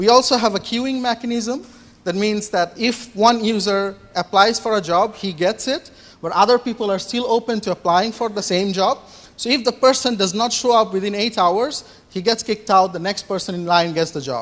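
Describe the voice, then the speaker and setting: Loud speech at a moderate pace. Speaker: startup founder pitching. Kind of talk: Q&A after startup pitch. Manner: hesitant, many fillers.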